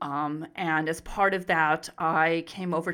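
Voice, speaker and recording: A woman with a very deep, low voice speaks with an American accent. The recording is very clean, with a silent background. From US, Arizona. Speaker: psychology professor. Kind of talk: interview conversation. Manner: halting, many fillers and repetitions.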